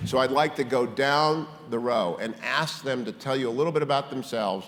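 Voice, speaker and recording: A man with an American accent speaks at a moderate pace, his pitch medium and his intonation lively. It is an unremarkable speaking voice. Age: 60s. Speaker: panel moderator. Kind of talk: panel moderation.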